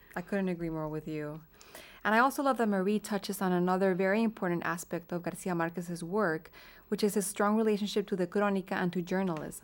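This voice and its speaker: Speaking at a very fast pace, a woman with a Spanish accent uses a medium pitch and ordinary pitch variation on a very clean recording with a silent background. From Colombia, Bogotá. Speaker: librarian and podcast co-host. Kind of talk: scripted narration.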